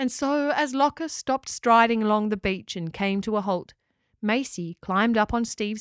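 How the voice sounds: The background is quiet. A natural reading voice carries ordinary pitch variation.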